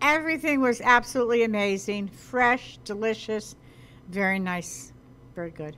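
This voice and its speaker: An enthusiastic woman in an American accent, fairly high-pitched and bright, sharp in tone, at a moderate pace with lively intonation and big swings in loudness. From New Jersey. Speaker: co-host, local personality; co-host. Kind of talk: casual restaurant review show. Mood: pleased, appreciative. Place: cafe. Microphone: handheld.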